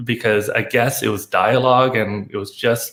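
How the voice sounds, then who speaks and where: This voice has a Chinese accent and ordinary pitch variation. It moves at a moderate pace. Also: man. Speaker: lighting designer. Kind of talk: casual chat. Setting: video call. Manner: halting.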